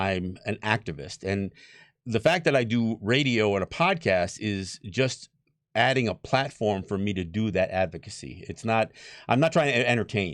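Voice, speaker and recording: Speaking with an American accent at a moderate pace, a man has an unremarkable speaking voice, fairly low pitch and lively intonation, against a quiet background. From Mohawk Nation, New York State area. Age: 60s. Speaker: Native activist and radio/podcast host. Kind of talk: panel discussion.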